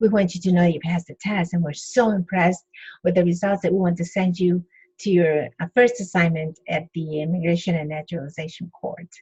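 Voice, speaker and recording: Somewhat breathy, a woman speaks at a fairly quick pace in a fairly low pitch with fairly even intonation, the sound dry and close with no echo. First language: Spanish. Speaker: interpreter and speaker. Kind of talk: interview testimony. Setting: podcast interview.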